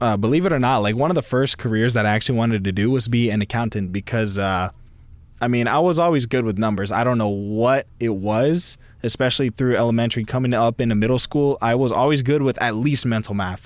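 In a very clean recording with a silent background, a man with an American accent talks at a very fast pace. His medium pitch shows ordinary variation, and his loudness stays very even. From US West Coast. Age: 20s. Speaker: podcast host. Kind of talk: casual monologue. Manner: laid-back.

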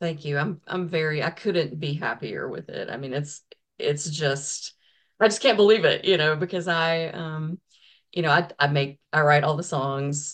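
A woman with a Southern US accent talks at a moderate pace in a very deep, low pitch with ordinary pitch variation. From US South, eastern Tennessee. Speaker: indie singer-songwriter. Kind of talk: interview. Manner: hesitant, many fillers.

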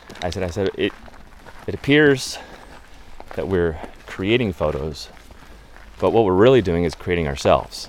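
Noticeable background noise sits behind a man with a very deep, low pitch and lively intonation. He keeps a moderate pace but leaves long, frequent pauses. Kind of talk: casual chat. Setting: outdoors. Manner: friendly.

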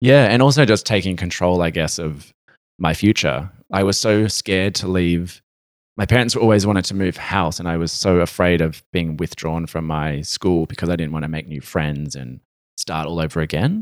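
A man's very deep, low voice with an Australian accent, ordinary pitch variation and a moderate pace. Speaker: fashion stylist. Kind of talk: casual interview chat.

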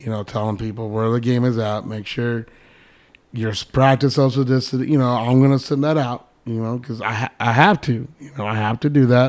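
A man with a West Texas accent talks at a fairly quick pace with fairly even intonation. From Texas Panhandle (Amarillo). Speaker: podcast co-host, teacher and coach. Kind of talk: casual chat.

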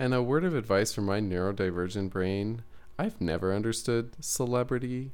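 A man with a plain, everyday voice speaks at a medium pitch, with ordinary pitch variation and very even loudness. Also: moderate pace. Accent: General American. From Colorado, US. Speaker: podcast co-host. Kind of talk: casual chat.

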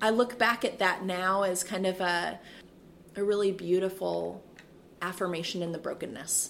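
The intonation stays fairly even while the words come at a moderate pace. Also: woman, medium pitch for a woman. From US Midwest (Minnesota and Ohio). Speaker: Episcopal priest. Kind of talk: casual interview chat.

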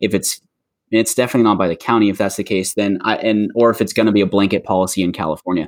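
In a very clean recording with a silent background, a man speaks very fast at a fairly low pitch with fairly even intonation. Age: 20s. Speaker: mortgage loan officer, returning guest. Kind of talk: casual chat.

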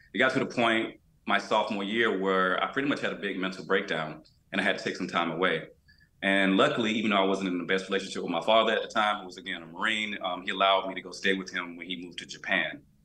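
Over noticeable background noise, a man with an American accent speaks at a very fast pace in a fairly low pitch, his intonation fairly even but his loudness swinging widely. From US South, Georgia. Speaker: fitness coach and yoga instructor. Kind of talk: interview.

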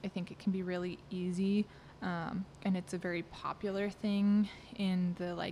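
A woman with an American accent speaks at a moderate pace in a monotone, flat intonation. Her tone is dark and mellow, and somewhat breathy. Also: medium pitch for a woman. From US Midwest, southeast Wisconsin. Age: 20s. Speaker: army physician. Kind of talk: testimony.

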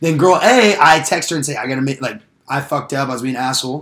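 This man's fairly high voice moves along at a fairly quick pace. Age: 20s. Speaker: podcast host. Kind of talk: casual chat. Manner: animated.

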